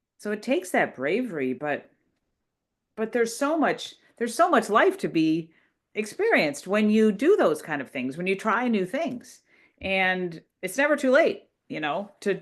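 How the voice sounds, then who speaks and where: Over a quiet background, a woman talks at a moderate pace in a fairly high pitch with vocal fry, very wide pitch swings and big swings in loudness. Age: 60s. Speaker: interviewee, co-author and ballroom dancer. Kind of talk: casual interview.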